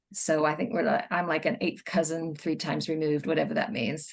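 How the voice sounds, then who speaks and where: The speaker has vocal fry and an American accent. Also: woman. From United States. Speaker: children's book author. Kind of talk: casual chat.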